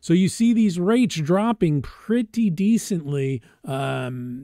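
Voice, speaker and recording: Against a quiet background, a man's dark, mellow tone makes very wide pitch swings in a dry sound with no echo. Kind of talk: screen-share product commentary. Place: home room. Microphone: webcam.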